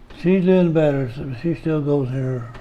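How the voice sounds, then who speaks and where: With ordinary pitch variation, a man speaks in a room with audible echo. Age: 80s+. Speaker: elderly father being interviewed. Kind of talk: casual family chat. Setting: at home.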